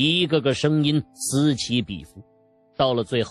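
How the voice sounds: A natural reading voice is what this clip offers.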